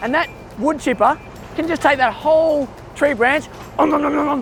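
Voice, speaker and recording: An animated man with an Australian accent at a fairly quick pace, ordinary pitch variation, and music in the background. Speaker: children's educational presenter. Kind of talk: kids' educational presenting.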